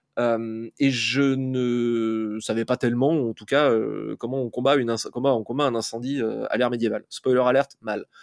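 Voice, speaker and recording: A man talks at a fairly slow pace and medium pitch, with hardly any pauses. His intonation is monotone and flat. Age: 40s. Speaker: fantasy author. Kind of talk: interview. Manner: hesitant, many fillers.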